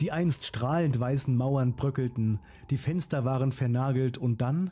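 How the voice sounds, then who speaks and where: Somewhat breathy and dark, mellow in tone, a man talks at a fairly slow pace with a medium pitch and ordinary pitch variation. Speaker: storyteller narrator. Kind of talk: horror story narration. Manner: hushed, suspenseful, slow-paced; addresses listeners directly, friendly.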